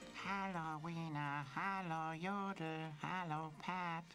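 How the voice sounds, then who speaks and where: A cartoonish character voice at a middle pitch and a very slow pace, with clear background noise. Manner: cheerful, playful.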